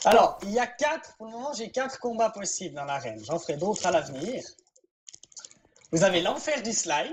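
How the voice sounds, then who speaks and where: A woman's fairly high voice with very wide pitch swings and long, frequent pauses. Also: moderate pace, big swings in loudness. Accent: slight Swiss French. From Switzerland. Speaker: game server event organizer. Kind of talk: casual chat while gaming.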